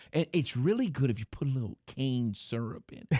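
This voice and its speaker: In an American accent, a man talks at a fairly quick pace with a medium pitch and a dark, mellow tone, recorded with a dry, close sound and no echo. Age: 50s. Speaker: sports radio host. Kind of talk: casual chat.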